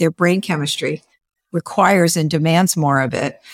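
This woman has a plain, everyday voice, fairly low in pitch, moving at a fairly quick pace with ordinary pitch variation, recorded with a dry, close sound and no echo. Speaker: author and speaker on introversion. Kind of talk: podcast interview.

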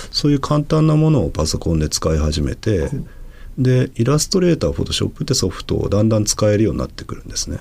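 Against noticeable background noise, a man at a medium pitch talks very fast, his pitch swinging very widely. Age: 40s. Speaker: manga artist. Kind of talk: interview conversation.

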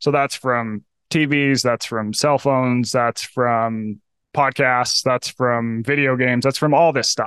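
An ordinary speaking voice, a man at medium pitch and a fairly slow pace, with very even loudness, a dry, close sound with no echo, and a quiet background. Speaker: author and health journalist. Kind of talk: casual interview chat.

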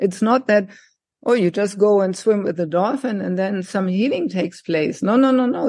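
The tone is dark and mellow, in a German accent. The pace is moderate, with ordinary pitch variation. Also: woman. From Germany, countryside. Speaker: psychologist and life coach. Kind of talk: interview.

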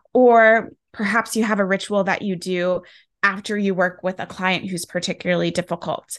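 Against a quiet background, a woman speaks at a moderate pace and medium pitch with fairly even intonation in a normal speaking voice. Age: 30s. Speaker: self-care and personal development coach, author. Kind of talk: interview conversation.

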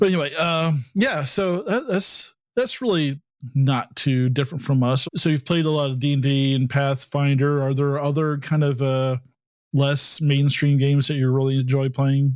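Fairly even intonation and very even loudness mark this man's unremarkable speaking voice. He talks at a moderate pace with a fairly high pitch. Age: 50s. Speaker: podcast host, game master. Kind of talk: casual chat. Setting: video call.

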